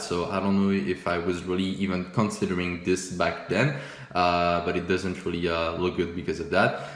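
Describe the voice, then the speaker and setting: Someone speaks with a French accent in a room with audible echo and noticeable background noise. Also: man. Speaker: forex trading YouTuber. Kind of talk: casual video commentary reviewing old trades. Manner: casual, many fillers and repetitions.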